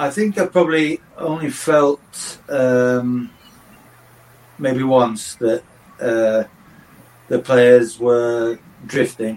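Over noticeable background noise, a man speaks at a very slow pace with long, frequent pauses. His pitch is medium, with ordinary variation. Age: 60s. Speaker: football coach and former manager. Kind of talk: podcast interview.

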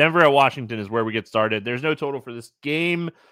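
A man speaks in a bright, sharp tone. The recording is very clean and dry, close-miked with no echo over a silent background. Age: 30s. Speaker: fantasy sports podcast host. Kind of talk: casual sports analysis chat.

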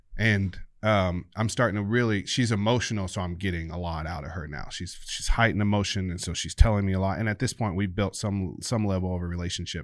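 A man with a fairly low voice talks at a very fast pace with fairly even intonation and hardly any pauses, in a very clean recording with a silent background. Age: 30s. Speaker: police officer and MMA fighter. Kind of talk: interview.

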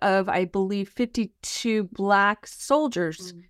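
A woman with an American accent and an ordinary speaking voice talks at a medium pitch with ordinary pitch variation, in a dry, close sound with no echo on a very clean recording with a silent background. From California, San Francisco Bay Area. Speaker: history professor. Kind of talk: interview.

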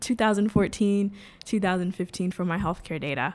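This speaker has an American accent and vocal fry. The recording is very clean, with a silent background. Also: woman. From New York City, the Bronx. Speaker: blockchain startup founder. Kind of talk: interview.

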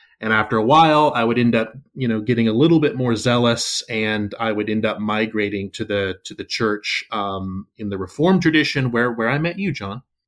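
A man with a Southern US accent talks at a fairly quick pace and medium pitch, with ordinary pitch variation and hardly any pauses. The recording is very clean, with a silent background. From US South. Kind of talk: casual interview conversation.

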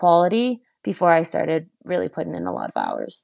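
With a Canadian accent, an ordinary speaking voice goes at a moderate pace in a dry, close sound with no echo, the recording very clean and the background silent. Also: woman. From Quebec, Canada (Chelsea). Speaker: Olympic cross-country skier. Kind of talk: interview.

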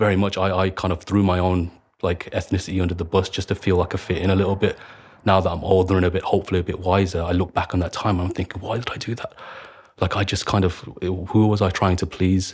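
A man with a very deep, low pitch speaks at a very fast pace. His voice is somewhat breathy, and his intonation stays monotone and flat. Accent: Birmingham. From Birmingham, England (Handsworth). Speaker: activist, student and former soldier. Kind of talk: interview.

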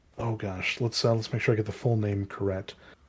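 A man with an American accent speaks at a medium pitch, sounding somewhat breathy. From US, rural town. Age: 30s. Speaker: educator and game master. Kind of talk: casual interview chat.

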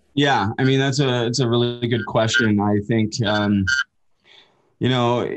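A man with a western Canadian accent speaks at a medium pitch in a flat monotone, his loudness very even, with long, frequent pauses. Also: fairly slow pace. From Canada, Port Coquitlam near Vancouver. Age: 30s. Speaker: former pro hockey player in addiction recovery. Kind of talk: interview conversation.

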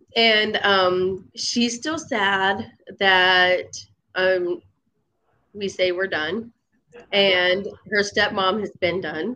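Speaking at a very slow pace with long, frequent pauses, a woman has a bright, sharp tone. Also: medium pitch for a woman, ordinary pitch variation. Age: 30s. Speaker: mother sharing her story. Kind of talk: casual interview. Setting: live online call.

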